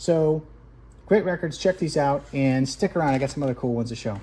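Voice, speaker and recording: A man's fairly high, somewhat breathy voice with a dark, mellow tone, ordinary pitch variation and a fairly quick pace. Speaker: record collector video host. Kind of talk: casual tutorial-style record review.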